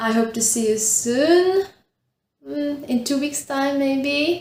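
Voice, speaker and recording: A woman speaks very slowly with a Czech accent, her voice somewhat breathy. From Czech Republic, northern Bohemia. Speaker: knitting podcaster. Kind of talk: casual chat. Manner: halting.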